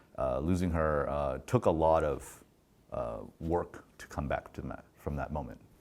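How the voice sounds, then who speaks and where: With an American accent, a man speaks at a moderate pace in a very deep, low pitch with vocal fry. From US Pacific Northwest, Oregon. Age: 30s. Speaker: podcaster and filmmaker. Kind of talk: interview.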